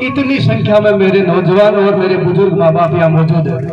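Over noticeable background noise, a man speaks in a high pitch. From Rajasthan. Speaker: YouTuber. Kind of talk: speech at community gathering. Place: hall. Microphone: phone near.

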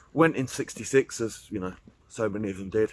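A man's voice comes through light background noise in a dry recording with no echo. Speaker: walking vlogger. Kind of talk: casual vlog chat. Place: forest. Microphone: phone near.

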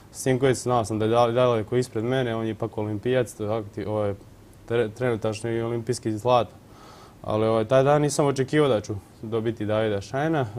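At a fairly quick pace, a man speaks with an ordinary speaking voice, medium in pitch, with fairly even intonation. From Croatia, Vukovar; Croatia. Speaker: rower, athlete; interview guest. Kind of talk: TV studio interview. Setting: TV studio. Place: studio. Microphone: lapel.

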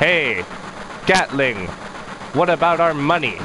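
A man's put-on character voice, whiny and nasal, fairly high in pitch at a fairly slow pace over clear background noise. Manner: whiny, nasal.

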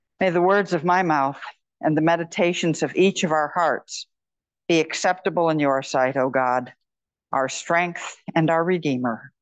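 A woman speaks at a moderate pace in a fairly low pitch, with a normal speaking voice. Her loudness stays very even, her pitch varies in an ordinary way, and the background is quiet. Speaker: pastor. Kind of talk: sermon. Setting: church. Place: church.

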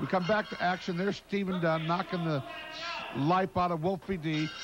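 A high-pitched man at a moderate pace, ordinary pitch variation, noticeable background noise. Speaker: wrestling commentator. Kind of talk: wrestling commentary. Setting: narrating replay of fan video footage. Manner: animated, excited.

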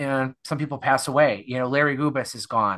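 A man's fairly high, bright, sharp voice at a fairly quick pace over a quiet background. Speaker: podcast host. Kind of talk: casual chat. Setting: video call.

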